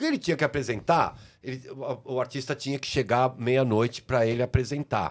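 Vocal fry runs through fairly quick speech on a very clean recording with a silent background. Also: man. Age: 60s. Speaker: music and TV producer. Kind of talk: casual chat.

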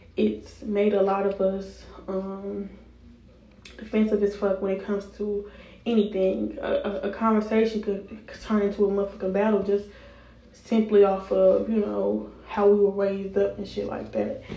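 A woman speaks at a moderate pace in a medium pitch, with a dark, mellow tone. Her intonation is flat and monotone, and room echo can be heard. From Chicago, US Midwest. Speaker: podcast host, college student. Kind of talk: casual solo chat.

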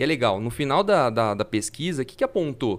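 Recorded very cleanly over a silent background, a man with a normal speaking voice talks at a fairly quick pace in a fairly high pitch. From Fernandópolis, interior São Paulo, Brazil. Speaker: innovation consultant and futurist. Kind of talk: casual chat.

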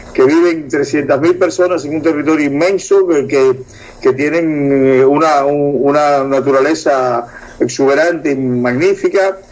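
With noticeable background noise behind him, a man speaks fairly slowly at a fairly high pitch, with ordinary pitch variation. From Cuba. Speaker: co-host. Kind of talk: casual interview.

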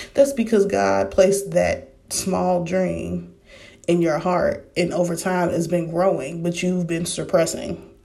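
A woman talks at a fairly slow pace, with audible room echo. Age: 30s. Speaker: faith podcaster. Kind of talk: casual devotional talk.

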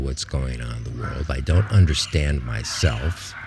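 A man with an American accent speaks at a fairly slow pace. Noticeable background noise runs under his voice. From US Midwest (Ohio). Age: 70s. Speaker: podcaster. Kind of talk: autobiographical monologue. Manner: halting.

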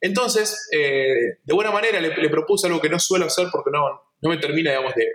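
At a fairly quick pace, a man speaks with a Santa Fe accent. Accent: Argentine Spanish (rioplatense, santafesino). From Argentina, Santa Fe province. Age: 30s. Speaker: photographer and photography teacher. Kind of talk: casual interview chat. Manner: halting, many repetitions and fillers.

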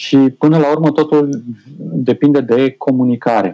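A man's mid-range voice moves fairly slowly, its pitch varying a typical amount. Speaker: IT specialist and TV presenter. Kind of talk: casual chat.

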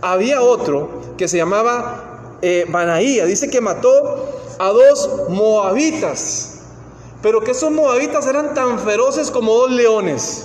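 With noticeable background noise, a speaker with a Costa Rican accent talks at a fairly slow pace. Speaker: preacher. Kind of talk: sermon. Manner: halting.

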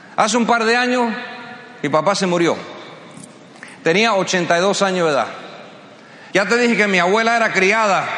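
Over noticeable background noise, a man speaks in a raised, projected voice at a high pitch for a man. His tone is animated and his loudness very even. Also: ordinary pitch variation, moderate pace. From US, Cuban-American family. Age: 50s. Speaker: motivational speaker. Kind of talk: motivational speech. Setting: stage with audience.

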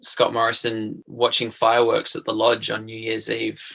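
A man talks at a moderate pace in an Australian accent. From southeastern Australia. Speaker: playwright and theatre-maker. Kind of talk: casual interview. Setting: remote call.

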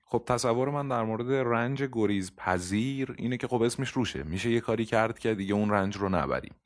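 A man at medium pitch, very fast with hardly any pauses, very even loudness and ordinary pitch variation, on a very clean recording with a silent background. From Iran. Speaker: podcast host. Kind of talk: casual chat.

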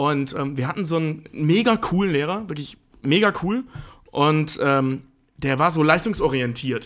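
Speaking at a fairly slow pace in a normal speaking voice, a man with a fairly high pitch uses lively intonation. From eastern Germany. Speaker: podcast co-host. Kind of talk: casual chat.

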